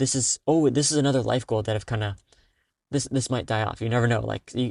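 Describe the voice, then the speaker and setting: A man talks at a fairly quick pace and medium pitch with fairly even intonation, the sound dry and close with no echo over a quiet background. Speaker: solo podcaster and programmer. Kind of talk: casual solo podcast monologue. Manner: fast; many pauses and fillers.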